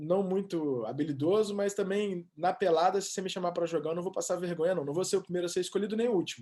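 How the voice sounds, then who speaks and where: A man's high voice in an Espírito Santo accent, very fast with hardly any pauses, ordinary pitch variation, quiet background. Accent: capixaba (Espírito Santo). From Brazil, Espírito Santo (Vitória). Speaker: sports reporter. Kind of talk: interview. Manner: halting.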